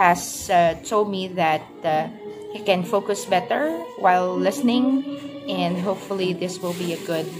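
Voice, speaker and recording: With music playing in the background, a woman speaks at a fairly slow pace. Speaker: working mother vlogger. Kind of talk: casual vlog chat. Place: home room. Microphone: phone near.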